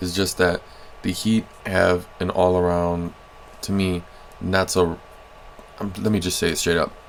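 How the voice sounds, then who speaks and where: With noticeable background noise behind him, a man talks at a fairly slow pace in a very deep, low, monotone voice with flat intonation and long, frequent pauses. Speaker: sports video creator. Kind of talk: casual commentary over gameplay. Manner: monotonous.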